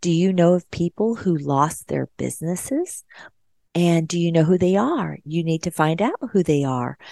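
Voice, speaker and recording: A woman's voice has a dark, mellow tone and fairly low pitch, with ordinary pitch variation at a moderate pace. The sound is dry and close with no echo. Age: 50s. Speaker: radio host and nurse. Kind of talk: solo talk radio monologue.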